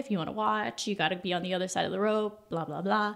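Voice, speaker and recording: On a very clean recording with a silent background, a woman uses an ordinary speaking voice at medium pitch with ordinary pitch variation. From Southern California. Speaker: former theme park guest relations cast member. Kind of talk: casual chat.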